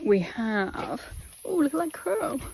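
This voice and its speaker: A woman with an English accent. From England. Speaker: travel vlogger. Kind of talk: casual vlog narration. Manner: animated.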